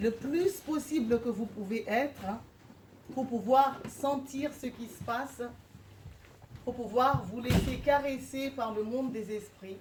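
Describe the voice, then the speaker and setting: Speaking at a very slow pace, a woman with a high pitch leaves long, frequent pauses. Audible room echo and noticeable background noise fill the recording. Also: ordinary pitch variation. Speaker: shamanic practitioner and speaker. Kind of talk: guided meditation; public lecture. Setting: lecture hall with live audience, no microphone. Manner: hesitant with frequent fillers. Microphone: speaking without microphone.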